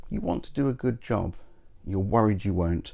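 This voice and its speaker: A man with a British accent talks at a moderate pace. His pitch is fairly low and his tone dark and mellow. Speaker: YouTuber and game master advice host, magician. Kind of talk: advice monologue to camera. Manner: confident public speaker.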